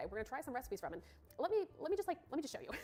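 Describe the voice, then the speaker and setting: Over music in the background, a woman's pitch swings very widely. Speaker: coffee YouTuber. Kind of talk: video presentation. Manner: fast.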